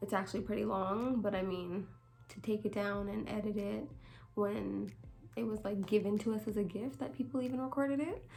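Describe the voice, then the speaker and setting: Quiet and fairly quick, a woman speaks at a medium pitch with ordinary pitch variation amid audible room echo. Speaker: vlogger. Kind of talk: casual chat. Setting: at home, late night.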